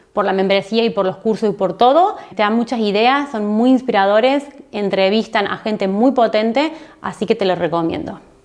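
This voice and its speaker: Her pitch is fairly high with ordinary variation as this woman speaks. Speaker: online marketing educator and YouTuber. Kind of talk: casual recommendation vlog. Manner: fast.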